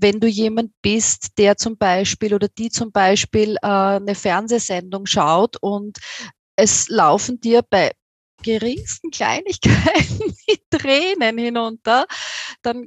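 Speaking very slowly, a woman uses a fairly high pitch and an Austrian accent. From Austria, near Vienna. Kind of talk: interview. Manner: hesitant, with filler sounds.

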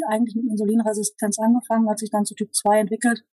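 This woman's voice is fairly high and somewhat breathy, with a dark, mellow tone, monotone, flat intonation, and a dry, close sound with no echo. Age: 40s. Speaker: diabetes coaching client. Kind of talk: interview.

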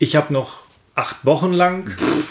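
Noticeable noise sits in the background. The voice is a man's. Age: 50s. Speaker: handball referee. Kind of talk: casual chat.

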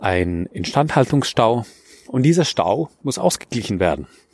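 Pitch swings very widely in a dry, close sound with no echo. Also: man. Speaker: architect and podcast host. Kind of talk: solo podcast monologue. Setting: outdoors walking in a forest. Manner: hesitant, with fillers and repetitions.

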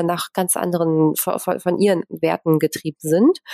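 This woman's voice has a dark, mellow tone, recorded dry and close with no echo. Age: 40s. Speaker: real estate entrepreneur and investor. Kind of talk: interview. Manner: frequent filler sounds.

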